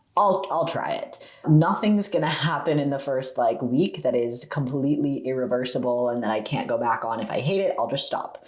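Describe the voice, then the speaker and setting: Over noticeable background noise, a man with a fairly high pitch talks at a moderate pace with lively intonation and hardly any pauses. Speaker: youtuber. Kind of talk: casual Q&A chat to camera. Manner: chatty, many fillers and repeats.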